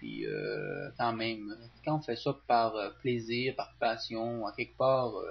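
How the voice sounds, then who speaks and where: A man with a Saguenay accent, medium pitch and a somewhat breathy voice, at a very slow pace. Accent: Saguenay Quebec French. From Quebec, Saguenay. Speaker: teacher and video game tutorial youtuber. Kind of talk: casual talk to viewers. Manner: hesitant, many fillers.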